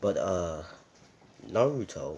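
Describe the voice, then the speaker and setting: Here a man is speaking. His pace is very slow. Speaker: anime fan video creator. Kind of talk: casual fan-fiction narration. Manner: hesitant, many fillers.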